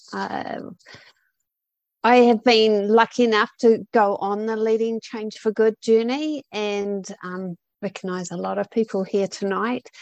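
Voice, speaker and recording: A woman with a fairly high pitch speaks in a normal speaking voice with fairly even intonation and big swings in loudness. The sound is dry and close with no echo, and the background is quiet. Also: fairly slow pace. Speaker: outreach manager. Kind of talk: promotional info pitch. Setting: online video event.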